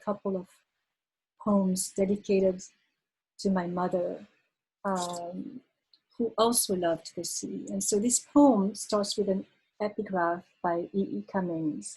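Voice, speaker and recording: With a French accent, a woman speaks at a medium pitch and a fairly slow pace, sounding somewhat breathy with a dark, mellow tone and fairly even intonation. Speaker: poet. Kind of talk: casual introduction; poetry reading. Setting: video call. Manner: halting, many fillers when talking.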